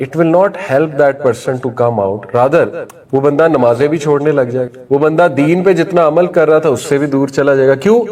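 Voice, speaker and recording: Here a man has an unremarkable speaking voice, fairly high in pitch with ordinary variation. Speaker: Islamic preacher. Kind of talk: Islamic sermon (bayan) to an audience. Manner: conversational, explanatory, mixes Urdu with many English words.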